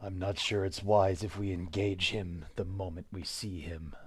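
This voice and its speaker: Using a put-on character voice, a man speaks with a very deep, low pitch at a moderate pace. The recording is very clean, with a silent background. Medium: actual play. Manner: terse, restrained anger.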